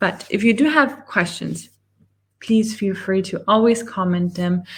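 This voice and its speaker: A woman speaks at a medium pitch with ordinary pitch variation. Her voice is somewhat breathy and her pace fairly slow. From Germany. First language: German. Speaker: online business coach. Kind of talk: live webinar presentation. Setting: livestream with screen share.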